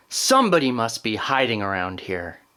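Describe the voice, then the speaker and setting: Putting on a growling character voice, a man speaks at a medium pitch and a moderate pace with lively intonation. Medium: read story.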